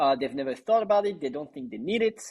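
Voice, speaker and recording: A man's lively, French-accented speech against a quiet background. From western France. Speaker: startup co-founder. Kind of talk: podcast interview. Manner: many filler words and restarts.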